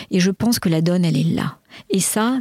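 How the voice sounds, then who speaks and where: A woman's medium-pitched, somewhat breathy voice at a moderate pace, the sound dry and close with no echo. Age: 60s. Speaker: executive coach. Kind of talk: interview. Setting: outdoors.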